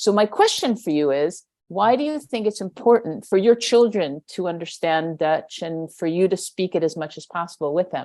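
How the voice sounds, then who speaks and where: A woman with an American accent talks at a moderate pace with hardly any pauses, her dark, mellow tone carried by lively intonation. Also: medium pitch for a woman. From New York. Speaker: podcast host, educator. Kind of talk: interview.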